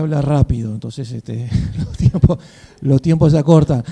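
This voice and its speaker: Amid noticeable background noise, a man with an Argentine accent speaks at a moderate pace, his pitch fairly high and his intonation fairly even. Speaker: panel moderator. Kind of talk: panel moderation.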